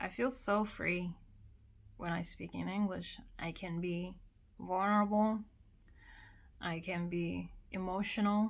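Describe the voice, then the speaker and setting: A woman with a Korean accent talks at a very slow pace and medium pitch, with fairly even intonation and long, frequent pauses. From South Korea. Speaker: vlogger. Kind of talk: personal vlog monologue.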